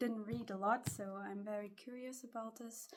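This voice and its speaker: Speaking fairly slowly in a German accent, a woman uses a medium pitch with ordinary pitch variation and a somewhat breathy quality. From Germany. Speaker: booktuber and student vlogger. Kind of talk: casual vlog talk. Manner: slightly halting.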